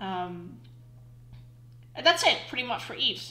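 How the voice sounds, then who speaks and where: Noticeable background noise sits behind the clip. Over it, a woman speaks with lively intonation. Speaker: online game player. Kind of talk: casual gaming commentary.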